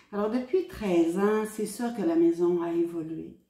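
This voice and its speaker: A woman talks fairly slowly, and noticeable background noise can be heard throughout. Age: 70s. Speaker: hospice volunteer. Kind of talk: testimony. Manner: hesitant, with frequent fillers.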